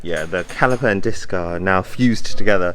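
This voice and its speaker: With a British accent, a man speaks at a moderate pace with ordinary pitch variation. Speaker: car YouTuber. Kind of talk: casual vlog narration.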